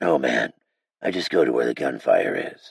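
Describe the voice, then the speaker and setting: A raspy, put-on character voice from a man, very deep and low in pitch. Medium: read story.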